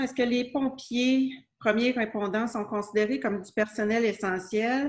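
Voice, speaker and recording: A woman speaks at a fairly slow pace. Her pitch is fairly high, and her intonation stays fairly even. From Quebec. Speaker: city clerk; council meeting chair or clerk. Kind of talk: municipal council meeting. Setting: closed-door council chamber. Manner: formal. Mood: calm, formal. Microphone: video call.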